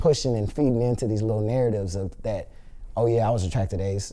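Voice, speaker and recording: A man with an American accent, fairly quick pace, dark, mellow tone, and audible room echo. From Los Angeles, US. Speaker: reality TV contestant. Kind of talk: interview. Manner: casual, filler-heavy.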